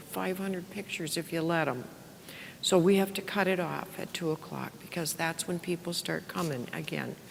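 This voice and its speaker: Noticeable background noise behind a woman speaking in a fairly low register. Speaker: parish worship director. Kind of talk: workshop presentation. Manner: loud; casual, filler-heavy.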